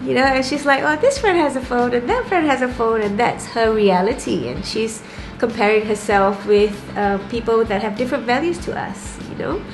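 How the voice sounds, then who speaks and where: Room echo and noticeable background noise accompany a woman with a fairly high pitch and ordinary pitch variation. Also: moderate pace. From Singapore. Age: 40s. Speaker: interviewee, Lisbon resident. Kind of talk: casual interview.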